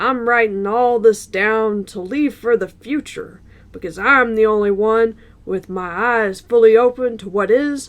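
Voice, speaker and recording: A woman's put-on character voice, fairly high in pitch and fairly slow in pace. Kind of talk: written journal read aloud. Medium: read story. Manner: folksy, rough-spoken, self-righteous.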